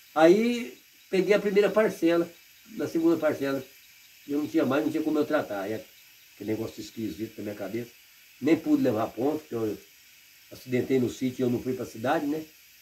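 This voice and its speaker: A man's fairly high voice with very wide pitch swings, long and frequent pauses, and noticeable background noise. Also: fairly quick pace. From Paraná, Brazil. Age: 60s. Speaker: retired rural worker. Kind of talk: interview.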